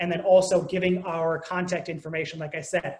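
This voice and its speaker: Amid noticeable background noise, a man speaks at a very fast pace. His pitch is high and his intonation monotone and flat. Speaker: digital marketing presenter. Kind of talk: webinar presentation.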